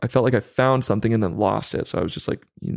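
A man speaks very fast at a medium pitch. The recording is very clean, with a silent background. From US West Coast, Central Valley of California. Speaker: musician and songwriter. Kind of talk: casual chat.

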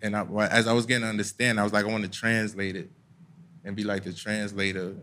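A very fast, monotone, flat delivery in a New York accent with a bright, sharp tone. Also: man. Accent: New York (Bronx). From US Northeast (Bronx, New York City). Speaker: hip hop artist and activist. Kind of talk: casual chat. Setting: stage with live audience.

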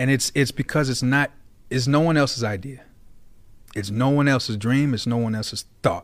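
A man with a medium-pitched voice talks at a moderate pace with ordinary pitch variation, on a very clean recording with a silent background. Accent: American. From Chicago area, Illinois. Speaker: creative space owner and entrepreneur. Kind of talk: casual interview. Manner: halting, frequent repetitions.

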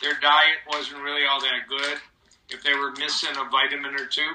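A man's normal speaking voice, fairly high-pitched and at a fairly quick pace. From Michigan, US. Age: 60s. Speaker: cardiologist. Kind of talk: interview.

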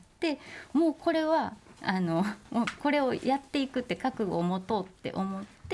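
A woman's high-pitched voice with very wide pitch swings, at a moderate pace, over noticeable background noise. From Osaka, Japan. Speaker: sculptor. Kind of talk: interview.

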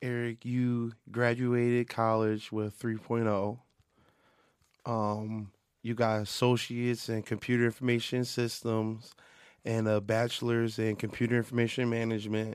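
A man at medium pitch, fairly slow and in a monotone, flat intonation. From Philadelphia, US. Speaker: music producer. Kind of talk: casual chat. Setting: studio. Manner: halting, many repeated words.

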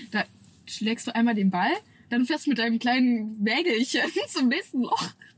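Noticeable background noise sits behind a woman speaking at a moderate pace in a fairly high pitch, with lively intonation. Her loudness swings widely, and she leaves long, frequent pauses. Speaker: social media creator. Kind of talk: casual chat. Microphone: camera audio instead of studio mic, worse sound.

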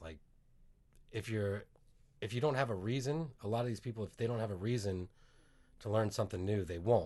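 A somewhat breathy man's voice, fairly low in pitch, with lively intonation. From northern Virginia, US. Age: 40s. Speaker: comedian and singer. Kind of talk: casual comedic chat.

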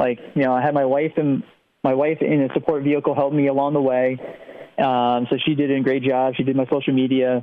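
With a flat, monotone delivery, a man talks at a fairly quick pace in a medium pitch, keeping his loudness very even. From New Jersey, Princeton. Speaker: ultrarunner. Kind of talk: casual interview.

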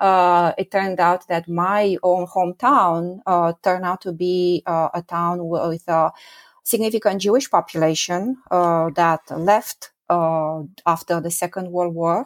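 Speaking at a fairly slow pace with a Romanian accent, a woman uses a fairly low pitch and fairly even intonation. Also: dry, close sound with no echo. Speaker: professor. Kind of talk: interview. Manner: halting, many fillers.

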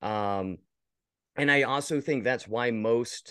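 Lively intonation from a man at a very slow pace against a quiet background. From rural Virginia, US. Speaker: creative director and video editor. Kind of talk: casual interview chat.

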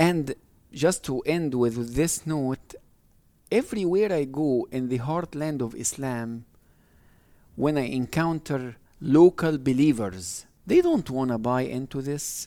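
On a very clean recording with a silent background, a man with a fairly high pitch and a dark, mellow tone speaks fairly slowly with ordinary pitch variation. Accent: Arabic. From Egypt. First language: Arabic. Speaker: professor of Islamic studies. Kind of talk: interview.

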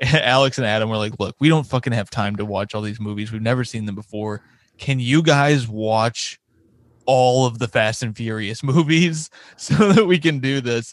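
A man with a normal speaking voice, medium pitch and ordinary pitch variation, against a quiet background. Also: moderate pace. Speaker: comedy podcast host. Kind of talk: casual chat.

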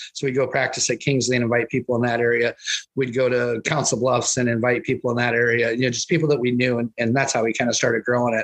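Very fast, monotone delivery with an American accent, very even loudness and a dry, close sound with no echo, plus noticeable background noise. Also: man, medium pitch for a man. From US Midwest, Iowa. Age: 40s. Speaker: wrestling coach. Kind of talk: casual chat.

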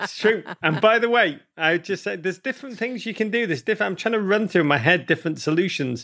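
Speaking very fast with hardly any pauses, a man with a Liverpool accent has a high, bright, sharp voice and lively intonation. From England, Liverpool. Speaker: author. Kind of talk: casual chat. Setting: video call.

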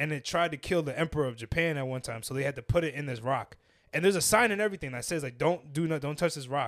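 Speaking at a very fast pace, a man sounds animated, with ordinary pitch variation in a very clean recording against a silent background. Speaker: podcast co-host. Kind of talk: casual chat.

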